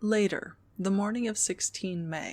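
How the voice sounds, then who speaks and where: A soft-spoken woman at a medium pitch and fairly slow pace, on a very clean recording with a silent background. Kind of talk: audiobook reading.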